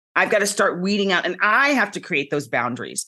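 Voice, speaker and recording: This woman's voice has a bright, sharp tone and some vocal fry, at a medium pitch. She talks at a moderate pace over a quiet background. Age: 50s. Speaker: TV host and former dancer. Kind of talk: casual chat.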